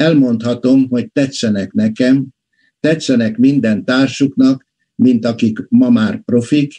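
Against a quiet background, a man with a dark, mellow tone speaks at a very slow pace with ordinary pitch variation. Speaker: aerospace physician and book author. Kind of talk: book presentation lecture. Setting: video call. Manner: formal. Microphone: webcam.

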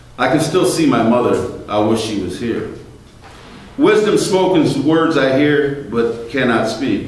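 A man's medium-pitched, slightly mellow voice at a fairly slow pace, lively intonation, strong room echo

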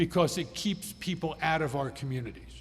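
An American accent at a fairly quick pace, with ordinary pitch variation and audible room echo. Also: man. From Pennsylvania, Adams County. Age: 60s. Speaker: state legislator. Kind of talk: town hall presentation. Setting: public meeting with audience.

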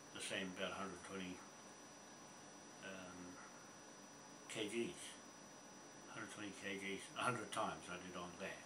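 At a moderate pace, a man talks over noticeable background noise. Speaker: gym-going retiree. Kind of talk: casual talk to camera. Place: home room. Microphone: webcam.

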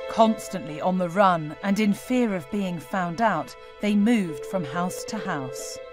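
Behind a woman's fairly slow delivery, music can be heard. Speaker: TV presenter. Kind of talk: TV documentary narration.

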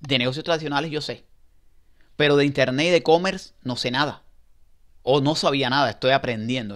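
A man speaks at a fairly quick pace with a fairly high pitch and ordinary pitch variation. He takes long, frequent pauses against a quiet background. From Cuba. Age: 40s. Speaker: online seller. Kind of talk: testimony; testimonial, casual first-person talk. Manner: halting. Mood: hopeful, encouraging. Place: home room. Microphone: headset.

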